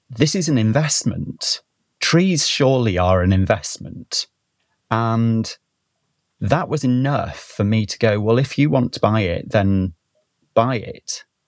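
In a North Welsh accent, a man talks at a fairly slow pace in a medium pitch with lively intonation, recorded with a dry, close sound and no echo. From North Wales. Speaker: botanist and conservation scientist. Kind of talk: casual interview conversation.

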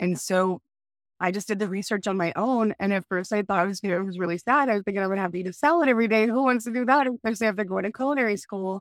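A woman with an American accent talks at a very fast pace and a medium pitch, with ordinary pitch variation. The sound is dry and close, with no echo. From Texas, El Paso. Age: 30s. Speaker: vegan chef. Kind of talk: casual interview.

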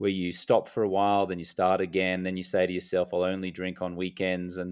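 A man with a very deep, low voice speaks at a fairly quick pace in a monotone. The recording is very clean, with a silent background. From Australia. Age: 40s. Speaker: stop-drinking coach. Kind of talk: podcast interview.

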